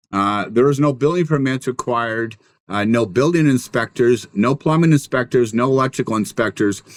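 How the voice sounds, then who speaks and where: The sound is dry and close with no echo, in a very clean recording against a silent background. A man speaks at medium pitch and a moderate pace with ordinary pitch variation. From Washington State, US Pacific Northwest. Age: 60s. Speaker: building contractor. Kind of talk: interview conversation. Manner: halting, many fillers.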